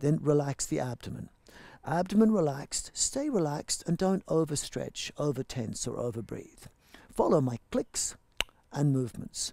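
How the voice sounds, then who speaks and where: In a dark, mellow tone, a man speaks at a moderate pace, the sound dry with no echo and the background quiet. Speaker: yoga teacher. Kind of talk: class instruction.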